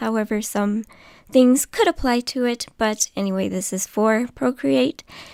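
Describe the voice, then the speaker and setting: In a normal speaking voice, a woman with a fairly high pitch and ordinary pitch variation speaks at a fairly slow pace, the sound dry and close with no echo on a very clean recording with a silent background. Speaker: embroidery artist. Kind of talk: tutorial narration.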